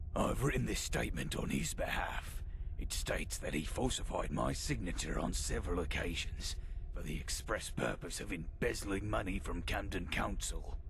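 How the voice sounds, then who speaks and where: A man does a put-on character voice at a moderate pace. Loud background noise runs behind him. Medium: game stream. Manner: dry, articulate, slightly weary.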